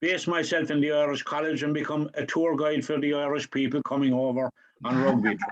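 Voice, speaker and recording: This man has a strong Cork accent and a fairly high pitch. He talks at a fairly quick pace with fairly even intonation. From Ireland, Cork. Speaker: audience member at online talk. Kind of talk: question and thanks at online event. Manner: halting.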